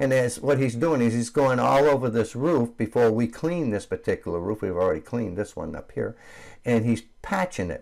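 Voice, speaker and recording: A plain, everyday voice moves at a fairly quick pace with lively intonation. The recording is very clean, with a silent background. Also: man, medium pitch for a man. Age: 60s. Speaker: roof cleaning business owner. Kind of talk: tutorial. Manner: casual, with frequent fillers.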